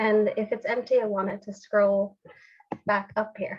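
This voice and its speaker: A woman with a fairly high pitch talks at a moderate pace in a monotone, flat intonation against a quiet background. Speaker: app developer demoing a technique; software demonstrator. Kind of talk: tutorial. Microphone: webcam.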